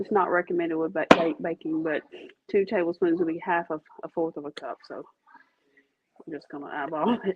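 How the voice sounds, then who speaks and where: A woman with a Louisiana accent speaks at a moderate pace. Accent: Louisiana Southern. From Louisiana, Catahoula Parish. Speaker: home baking video host. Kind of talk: casual cooking demonstration.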